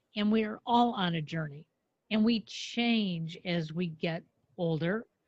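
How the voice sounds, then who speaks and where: A somewhat breathy woman speaks at medium pitch with ordinary pitch variation. The background is quiet and the sound is dry and close with no echo. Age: 70s. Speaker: event producer. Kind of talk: podcast interview.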